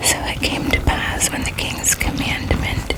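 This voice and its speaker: A whisper with a gentle, calm tone comes at a fairly slow pace over noticeable background noise. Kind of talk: ASMR Bible reading, bedtime relaxation. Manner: whispered, gentle, calm.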